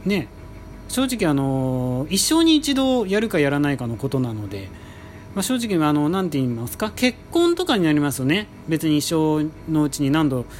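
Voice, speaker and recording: A man's fairly high voice at a moderate pace, with very wide swings in pitch. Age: 30s. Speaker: podcast host. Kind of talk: casual monologue. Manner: polite, many filler words.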